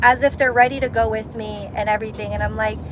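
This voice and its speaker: A woman speaks with music in the background. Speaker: livestreamer. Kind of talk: casual chat. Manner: halting.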